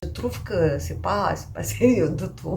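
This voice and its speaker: Audible room echo around a woman speaking. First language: Romanian (speaking French). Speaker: knitting podcaster. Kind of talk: casual vlog chat. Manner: hesitant, many fillers.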